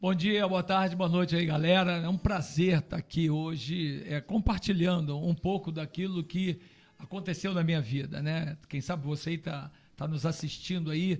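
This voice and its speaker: Here a man speaks at a moderate pace with a high pitch and fairly even intonation. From Rio de Janeiro, Brazil. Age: 60s. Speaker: pastor. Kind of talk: testimony.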